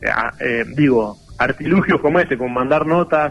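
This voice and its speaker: This man's voice sits fairly high in pitch. His intonation is lively. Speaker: municipal official. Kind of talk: radio phone interview. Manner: halting, frequent repetitions.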